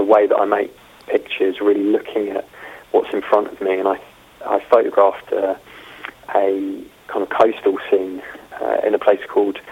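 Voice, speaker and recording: Speaking at a moderate pace, a man has a London accent. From London, England. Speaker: film photographer. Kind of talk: interview. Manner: halting.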